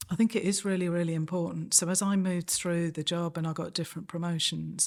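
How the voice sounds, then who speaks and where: On a very clean recording with a silent background, a woman with a slight Manchester accent speaks at a fairly quick pace and a fairly low pitch. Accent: slight Manchester twang. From Manchester, northern England. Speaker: senior police officer. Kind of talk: interview.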